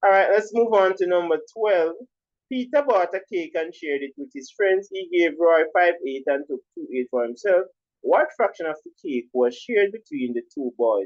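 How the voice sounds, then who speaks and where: A man with a Jamaican accent speaks at a moderate pace in a high voice. His pitch swings very widely and his loudness shifts in big swings. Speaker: primary school teacher. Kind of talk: tutorial.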